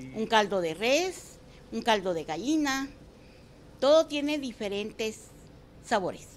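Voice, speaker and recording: Fairly slow speech from a woman, with long, frequent pauses, very wide pitch swings and big swings in loudness. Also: fairly high pitch for a woman. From Guatemala, San Marcos. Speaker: restaurant owner. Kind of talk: interview.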